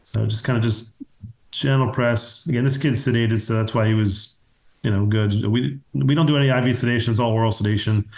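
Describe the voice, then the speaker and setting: This man's voice is somewhat breathy, moving at a fairly quick pace with very even loudness. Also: medium pitch for a man, ordinary pitch variation. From Pennsylvania, US. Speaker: pediatric dentist. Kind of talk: webinar lecture. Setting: online webinar. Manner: fast; casual.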